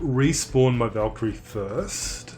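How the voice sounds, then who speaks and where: Music plays in the background. Over it, a man with an Australian accent speaks at a medium pitch. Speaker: game streamer. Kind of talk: live gameplay stream commentary.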